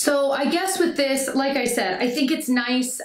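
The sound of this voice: A woman talks with ordinary pitch variation, and the room adds an audible echo.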